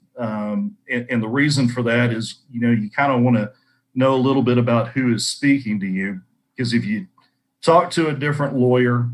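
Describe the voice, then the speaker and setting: A Texan accent with fairly even intonation at a moderate pace, on a very clean recording with a silent background. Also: man. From North Central Texas. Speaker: lawyer. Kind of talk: career talk to students. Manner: hesitant, many fillers.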